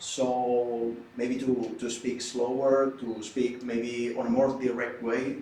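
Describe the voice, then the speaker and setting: Speaking very slowly with a Spanish accent, a man uses a medium pitch and a monotone, flat delivery. Noticeable background noise and audible room echo are present. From Spain. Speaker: law student. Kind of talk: group discussion.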